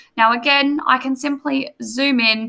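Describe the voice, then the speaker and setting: Her voice is raised and projected, with a bright, sharp tone and a high pitch. The woman speaks with an Australian accent. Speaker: teacher; teacher or trainer. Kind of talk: tutorial. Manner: casual, filler words. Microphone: webcam.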